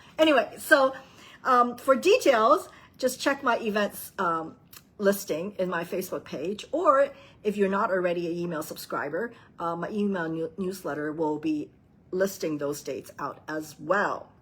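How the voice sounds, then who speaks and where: A woman talks in a medium pitch at a moderate pace. Her tone is animated, with very wide pitch swings. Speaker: papercraft demonstrator. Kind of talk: craft tutorial with announcements. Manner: chatty, animated.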